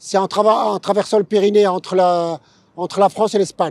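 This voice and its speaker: In a dry, close recording with no echo, a man speaks at a high pitch with a dark, mellow tone. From Morocco, Casablanca. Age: 60s. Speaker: former boxer, long-distance cyclist. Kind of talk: interview. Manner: halting, many hesitations.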